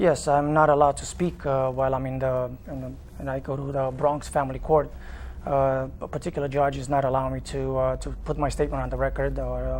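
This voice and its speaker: In a Romanian accent, a man speaks at a fairly quick pace. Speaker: father in custody dispute. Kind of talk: TV interview. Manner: halting, many fillers.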